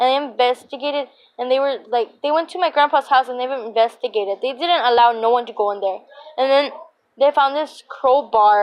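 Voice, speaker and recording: A woman with a high pitch and an animated tone, with ordinary pitch variation. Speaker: YouTuber. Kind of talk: storytelling vlog. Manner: fast.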